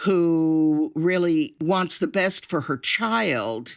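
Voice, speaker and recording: The speaker has an American accent, heard on a very clean recording with a silent background. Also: woman. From Upstate New York. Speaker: actress and film producer. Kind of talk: interview. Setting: podcast interview. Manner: loud.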